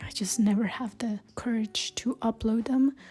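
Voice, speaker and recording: With music in the background, a woman's fairly high voice comes through. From Colombia. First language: Spanish. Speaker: travel vlogger. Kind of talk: vlog monologue. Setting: hostel.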